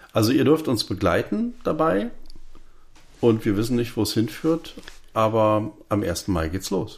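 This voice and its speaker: With lively intonation at a medium pitch, a man speaks with long, frequent pauses. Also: fairly slow pace. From Berlin. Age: 50s. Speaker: podcast co-host, filmmaker. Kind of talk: casual chat.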